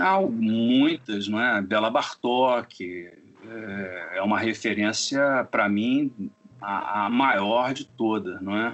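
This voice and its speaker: This man speaks at a very slow pace. His pitch is medium, with ordinary pitch variation. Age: 60s. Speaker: composer. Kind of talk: interview. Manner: halting.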